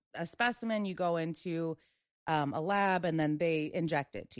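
A woman with a normal speaking voice and a fairly low pitch at a moderate pace, against a quiet background. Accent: American. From US, Maryland. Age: 20s. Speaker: veteran, nonprofit worker. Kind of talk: casual chat.

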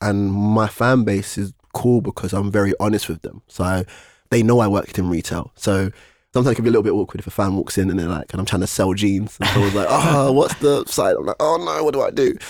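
Speaking with a London accent, a man talks at a very fast pace with fairly low pitch and ordinary pitch variation. The recording is very clean, with a silent background. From East London. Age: 20s. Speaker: rapper. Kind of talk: casual chat. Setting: studio.

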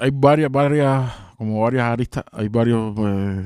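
Speaking at a moderate pace with a Cuban accent, a man has a medium-pitched voice heard with a dry, close sound and no echo. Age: 30s. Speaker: rapper. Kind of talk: casual chat. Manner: animated.

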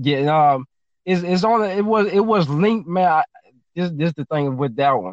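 In a Louisiana accent, a man with a high pitch speaks at a moderate pace. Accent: Southern US, Louisiana. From Baton Rouge, Louisiana. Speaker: rapper and music producer. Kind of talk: casual chat. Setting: studio.

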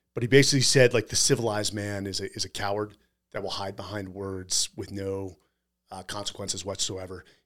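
A man with an American accent talks at a fairly quick pace in an ordinary speaking voice, his fairly low pitch held to fairly even intonation while his loudness swings widely, on a very clean recording with a silent background. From California. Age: 40s. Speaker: podcast host, military veteran. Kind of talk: casual chat.

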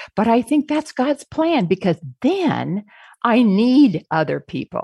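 A woman speaks at a fairly high pitch with vocal fry and very wide pitch swings against a quiet background. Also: dry, close sound with no echo. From US Pacific Northwest, near Seattle. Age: 70s. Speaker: guest sharing life wisdom. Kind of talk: casual interview chat.

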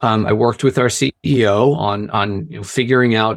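A man talks at a fairly slow pace in an ordinary speaking voice. His intonation stays fairly even. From Philadelphia area, US. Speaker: sales and marketing director, former teacher. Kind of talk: casual interview. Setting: video call.

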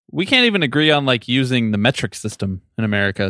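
Recorded dry and close with no echo, a man speaks in a bright, sharp tone. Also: very clean recording, silent background. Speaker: producer. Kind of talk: casual recap chat.

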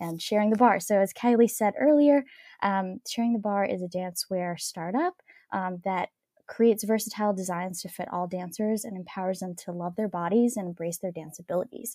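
A woman with a dark, mellow tone and medium pitch talks at a fairly quick pace with ordinary pitch variation. The recording is very clean, with a silent background and a dry, close sound with no echo. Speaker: dancewear startup founder. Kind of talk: interview. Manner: soothing.

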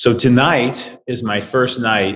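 A man is speaking. He talks with a Midwestern US accent. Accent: US Midwest. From St. Louis, Missouri (Webster Groves). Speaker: business executive. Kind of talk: casual interview chat.

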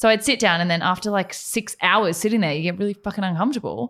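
Here is a woman with an ordinary speaking voice. Her pitch is medium, with ordinary pitch variation. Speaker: podcast co-host, lawyer. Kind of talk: casual chat.

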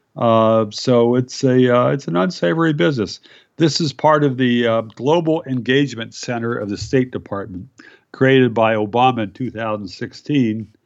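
Moderate pace and ordinary pitch variation. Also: man, medium pitch for a man. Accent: American. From US Midwest, Iowa. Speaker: libertarian author and journalist. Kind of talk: interview. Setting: phone call. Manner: halting, many fillers.

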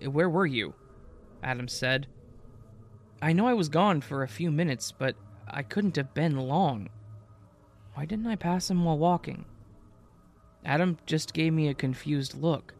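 Over music in the background, a man with a fairly high pitch speaks at a moderate pace, leaving long, frequent pauses. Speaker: horror story narrator. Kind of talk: ghost story narration, spooky creepypasta reading. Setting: online video channel narration. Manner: dramatic, suspenseful pacing; conversational, casual.

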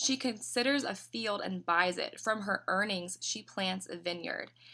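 Speaking with a slight Southern US accent, a woman has a bright, sharp tone with vocal fry, medium pitch, ordinary pitch variation and a moderate pace, on a very clean recording with a silent background. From Tennessee, US South. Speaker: business owner. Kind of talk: casual interview chat.

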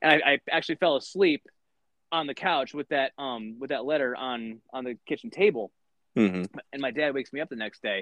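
A man with an American accent talks at a fairly quick pace and a fairly high pitch. His intonation is lively. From Michigan. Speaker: former wrestler and wrestling coach. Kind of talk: casual interview chat. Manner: halting, many fillers and repetitions.

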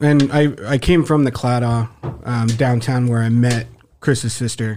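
A man with an American accent has an ordinary speaking voice at medium pitch. He talks at a fairly slow pace with fairly even intonation. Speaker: pizza restaurant manager. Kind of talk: casual comedy podcast chat. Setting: studio.

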